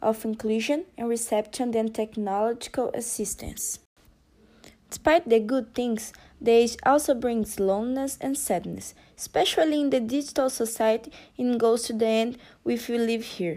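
A dark, mellow voice with a Portuguese accent, moderate pace and ordinary pitch variation, in a very clean recording with a silent background. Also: woman. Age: 20s. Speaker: university student volunteer. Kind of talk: interview. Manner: didactic and light.

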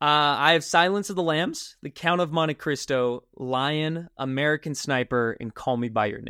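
Using a normal speaking voice, a man talks at a moderate pace with a fairly high pitch, ordinary pitch variation, and hardly any pauses. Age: 20s. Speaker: podcast host. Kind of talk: casual chat.

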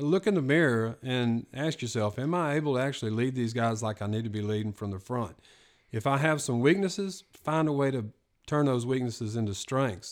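In a normal speaking voice, a man talks at a fairly quick pace with a medium pitch and ordinary pitch variation. The recording is very clean, with a silent background. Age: 50s. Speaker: retired police SWAT sergeant. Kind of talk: casual chat.

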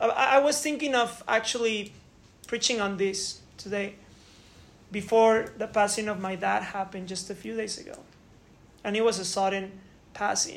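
A woman's medium-pitched voice with fairly even intonation, big swings in loudness, long and frequent pauses, and audible room echo. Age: 30s. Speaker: pastor. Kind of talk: sermon.

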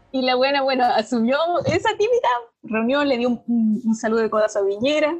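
With a Chilean accent, a woman speaks at a high pitch and moderate pace, using ordinary pitch variation. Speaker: podcast co-host. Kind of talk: casual chat.

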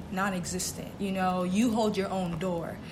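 A woman speaks with a somewhat breathy voice and ordinary pitch variation, with audible room echo around her. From Boston, Massachusetts. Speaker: college student co-host. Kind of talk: casual chat.

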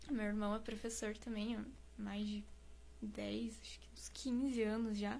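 A woman speaks fairly slowly with big swings in loudness, amid audible room echo and noticeable background noise. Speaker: singer and cosplayer. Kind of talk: casual interview.

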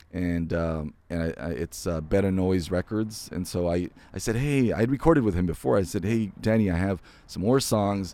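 In an American accent, a man with a very deep, low pitch and a dark, mellow tone talks at a moderate pace with ordinary pitch variation. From Imperial Valley, California (Calexico), then Central Valley. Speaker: voice-over artist. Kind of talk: casual interview. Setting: outdoors seating area of a restaurant.

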